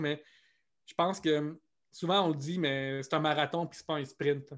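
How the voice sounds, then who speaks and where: A man speaks in a fairly high pitch with a flat, monotone delivery. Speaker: comedian. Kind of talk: interview. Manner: fast.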